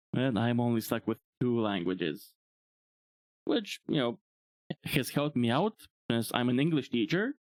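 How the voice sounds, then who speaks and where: A man with a Bulgarian accent speaks at a moderate pace with lively intonation, very even loudness and long, frequent pauses. The sound is dry and close, with no echo. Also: medium pitch for a man. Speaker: VTuber streamer. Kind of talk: livestream monologue.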